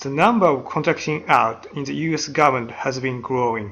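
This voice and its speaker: Someone with a non-native accent speaks at a moderate pace against a quiet background. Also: man. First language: not English. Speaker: university lecturer. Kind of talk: lecture. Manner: hesitant, frequent uh fillers.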